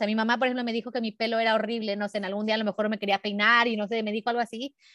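This woman's voice sits at a fairly high pitch. The sound is dry and close with no echo, a very clean recording with a silent background. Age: 40s. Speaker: body positivity activist and educator. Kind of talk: casual interview.

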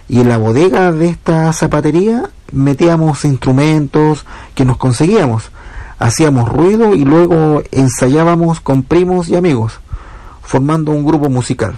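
Against noticeable background noise, a man keeps his loudness very even. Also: ordinary pitch variation. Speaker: musician. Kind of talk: recorded self-presentation.

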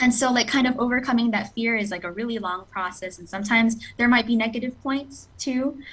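A woman with an American accent talks at a very fast pace with hardly any pauses, in a fairly high pitch with ordinary pitch variation. Her loudness swings widely over noticeable background noise. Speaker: scholarship recipient, English teacher. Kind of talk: interview.

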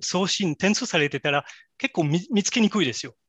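A man with a French accent speaks at a high pitch with a bright, sharp tone and lively intonation. The sound is dry and close with no echo over a quiet background. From France. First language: French (speaking Japanese). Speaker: AI specialist. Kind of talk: interview. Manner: halting.

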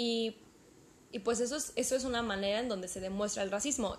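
Using a plain, everyday voice, a woman speaks at a fairly quick pace with fairly high pitch and ordinary pitch variation. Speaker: podcast co-host. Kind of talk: casual chat.

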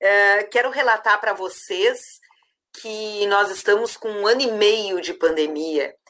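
In an unremarkable speaking voice, a woman goes at a fairly slow pace with lively intonation. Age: 50s. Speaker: university administrative staff coordinator. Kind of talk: live-stream panel discussion.

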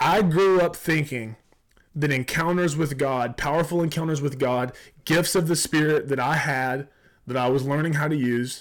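In a Southern US accent, a man with a fairly high pitch speaks at a moderate pace with ordinary pitch variation and very even loudness on a very clean recording with a silent background. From South Georgia. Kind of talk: casual conversation, faith teaching.

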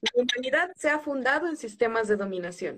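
A high-pitched woman's voice at a fairly slow pace, full of very wide pitch swings. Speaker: social psychologist and feminist activist. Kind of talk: interview, explanatory.

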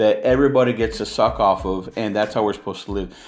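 A man speaks in an American accent with ordinary pitch variation. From California. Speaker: independent film producer and podcaster, former pastor. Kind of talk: casual solo podcast monologue. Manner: informal, conversational, opinionated.

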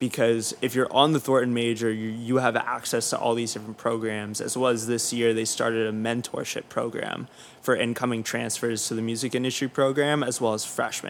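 A man's medium-pitched, monotone voice with flat intonation, hardly any pauses, and noticeable background noise. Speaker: student and music PR publicist. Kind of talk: casual interview chat.

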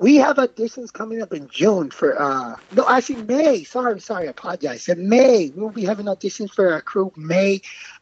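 The speaker moves at a fairly quick pace with hardly any pauses and very wide pitch swings. Noticeable background noise is present. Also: man, high pitch for a man, dry, close sound with no echo. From Dominican Republic. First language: Spanish. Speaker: dance group founder and choreographer. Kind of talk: casual interview.

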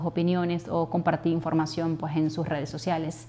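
A woman's fairly low-pitched voice. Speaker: wife of a jailed sports journalist. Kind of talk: interview testimony. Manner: halting.

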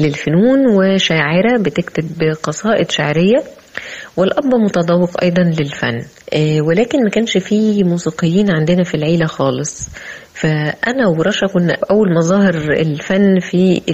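A woman with a Cairo accent speaks at a fairly slow pace and fairly low pitch, with ordinary pitch variation. Her loudness stays very even, and noticeable background noise is present. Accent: Egyptian Arabic (Cairene). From Egypt. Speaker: flutist and art critic. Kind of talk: interview. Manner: formal.

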